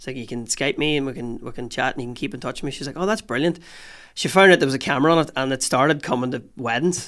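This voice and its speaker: On a very clean recording with a silent background, a man speaks very fast at a medium pitch, with ordinary pitch variation and big swings in loudness. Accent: Northern Irish. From Northern Ireland, Newry area. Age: 30s. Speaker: comedian. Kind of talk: casual chat. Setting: studio.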